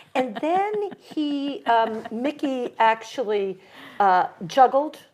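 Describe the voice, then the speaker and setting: At a very slow pace, a woman talks with a high pitch and very wide pitch swings. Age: 60s. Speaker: community event producer. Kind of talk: casual interview chat. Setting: library studio set. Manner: animated.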